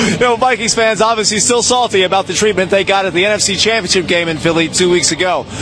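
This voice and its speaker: An energetic man talks at a very fast pace in a high voice, with very even loudness. The sound is dry with no echo, though background noise is noticeable. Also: ordinary pitch variation, hardly any pauses. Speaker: sports anchor and reporter. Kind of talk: TV sports news anchor reel. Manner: energetic, conversational.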